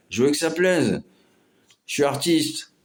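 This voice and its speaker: A man speaking at a fairly slow pace. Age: 50s. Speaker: amateur artist and vlogger. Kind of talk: casual vlog monologue. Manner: halting, many hesitations.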